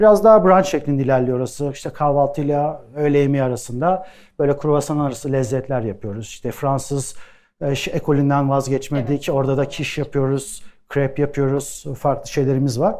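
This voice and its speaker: Against a quiet background, a man speaks with a fairly high pitch. His tone is dark and mellow. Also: ordinary pitch variation, moderate pace. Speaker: plant-based bakery co-founder. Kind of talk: live talk with audience Q&A. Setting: stage with audience.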